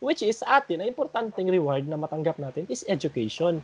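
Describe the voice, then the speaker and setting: Moving at a moderate pace, a man talks in an ordinary speaking voice pitched fairly high. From Philippines. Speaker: podcast host. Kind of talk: casual group discussion.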